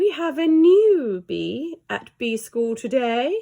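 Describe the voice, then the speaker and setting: In a put-on character voice, a woman speaks at a very slow pace with a high pitch. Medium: read story.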